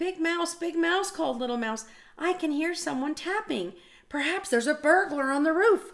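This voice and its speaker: Pitched extremely high, the put-on character voice comes out squeaky. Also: moderate pace. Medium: read story. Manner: anxious, pleading.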